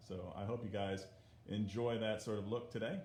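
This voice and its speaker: With audible room echo, a man talks at a moderate pace in a somewhat breathy voice. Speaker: art teacher. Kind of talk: livestream art lesson. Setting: livestream from iPad. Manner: soft-spoken. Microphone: muffled iPad audio.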